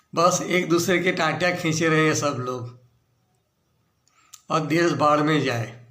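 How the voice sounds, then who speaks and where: Pausing long and often, a man speaks at a fairly high pitch with fairly even intonation in a room with audible echo. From Gujarat, India (Bharuch). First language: Gujarati (speaking Hindi). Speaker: political commentator. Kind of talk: video monologue on politics.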